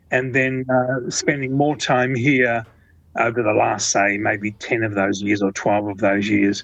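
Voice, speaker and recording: Against a quiet background, a man with an Australian accent talks at a fairly slow pace in a medium-pitched voice with fairly even intonation. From Australia, Melbourne. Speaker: hi-fi designer. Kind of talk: interview. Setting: phone call. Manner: halting.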